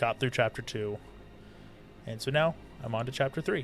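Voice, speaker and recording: A man speaks softly. His pace is moderate. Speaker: gaming streamer. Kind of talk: live game commentary. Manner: soft-spoken.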